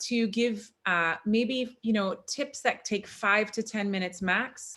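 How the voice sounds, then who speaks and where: A woman's bright, sharp voice with ordinary pitch variation. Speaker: functional medicine practitioner and chiropractor. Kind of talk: online workshop presentation. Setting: video call.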